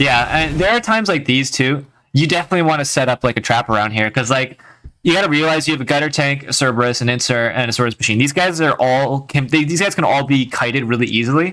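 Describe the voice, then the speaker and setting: Talking at a very fast pace, a man with fairly high pitch and a bright, sharp, animated tone keeps very even loudness and ordinary pitch variation, on a very clean recording with a silent background. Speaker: streamer. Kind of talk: live stream commentary and gameplay advice.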